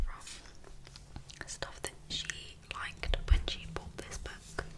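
A gentle-toned whisper over noticeable background noise. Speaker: ASMR creator. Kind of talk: ASMR personal attention and guided meditation. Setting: home recording, cozy roleplay. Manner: soft-spoken, gentle, calming.

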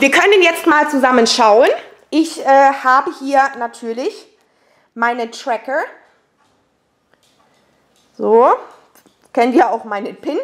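A woman talks slowly in a high pitch with ordinary pitch variation. She leaves long, frequent pauses.

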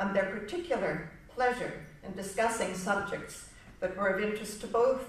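A woman speaks at a fairly slow pace with medium pitch and ordinary variation. Room echo is audible. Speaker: speaker on an artist's life; speaker. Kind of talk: illustrated presentation. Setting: live event with audience. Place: hall. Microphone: podium.

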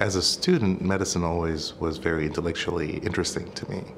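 Noticeable background noise under a man's very deep, low voice at a fairly quick pace. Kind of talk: interview answer. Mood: warm, earnest. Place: office.

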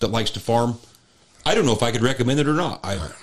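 This man has a normal speaking voice. His pitch is medium, with ordinary variation. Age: 40s. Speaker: farmer and podcast host. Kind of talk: casual chat.

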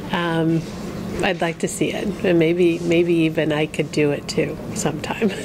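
With an American accent, a woman talks fairly slowly in a fairly low, monotone, flat voice. There is noticeable background noise. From US Midwest. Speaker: makeover client. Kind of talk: interview. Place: studio.

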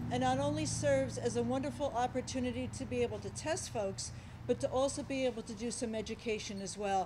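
Through noticeable background noise, a woman with a very deep, low pitch and very wide pitch swings speaks at a very fast pace. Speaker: hospital president. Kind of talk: public remarks. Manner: halting. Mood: warm, appreciative. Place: hall. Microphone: podium.

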